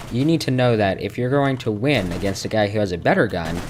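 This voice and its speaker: Through noticeable background noise, a man with a fairly low pitch speaks with lively intonation. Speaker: gaming youtuber. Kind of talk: gameplay commentary tutorial. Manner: stuttering today; casual, filler-heavy.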